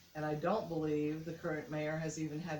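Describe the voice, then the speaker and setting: In an American accent, the speaker keeps a moderate pace and fairly even intonation amid audible room echo. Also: woman. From US Midwest, Indiana. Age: 60s. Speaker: mayoral candidate. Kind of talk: interview. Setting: on camera interview.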